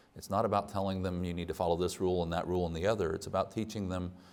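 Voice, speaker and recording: There is audible room echo as a man speaks with a very deep, low pitch. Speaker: missionary speaker. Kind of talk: mission talk in church. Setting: church.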